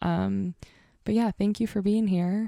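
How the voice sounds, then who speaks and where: With a dark, mellow tone, a woman speaks at a moderate pace and with fairly even intonation in a dry, close sound with no echo. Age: 20s. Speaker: podcast host. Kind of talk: scripted podcast intro/outro; casual deep conversation.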